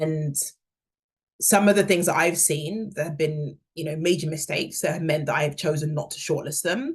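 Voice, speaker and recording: This woman's voice is very deep and low, and somewhat breathy. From England, London. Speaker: career workshop speaker, hiring manager. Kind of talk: workshop talk.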